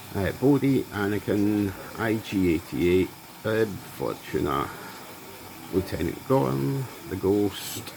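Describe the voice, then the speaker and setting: Noticeable background noise sits behind a very slow delivery. The intonation is lively, with long, frequent pauses. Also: man, fairly low pitch for a man. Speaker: YouTuber, card unboxing. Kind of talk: casual unboxing commentary.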